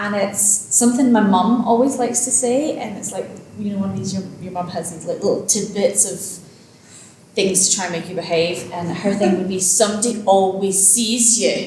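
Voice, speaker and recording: A woman with a Glasgow accent speaks with big swings in loudness over noticeable background noise and audible room echo. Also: medium pitch for a woman, ordinary pitch variation, moderate pace. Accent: Scottish (Glasgow). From Scotland, Glasgow. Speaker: author. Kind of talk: casual interview.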